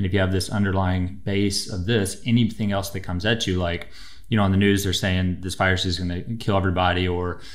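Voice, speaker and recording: Very fast and monotone, a man speaks with flat intonation. His pitch is very deep and low, and the background is quiet. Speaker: chiropractor guest. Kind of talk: interview answer. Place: studio. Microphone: studio mic.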